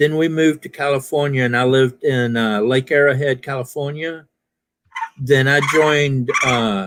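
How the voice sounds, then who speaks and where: With an American accent, a man at medium pitch has an ordinary speaking voice and ordinary pitch variation. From US South, Alabama. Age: 50s. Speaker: military veteran and live stream panelist. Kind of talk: casual chat. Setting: live stream.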